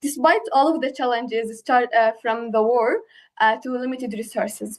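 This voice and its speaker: A woman speaks with an Arabic accent. Her pitch is high and her intonation fairly even. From Palestine. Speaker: program alumna, young founder panelist. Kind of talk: panel discussion.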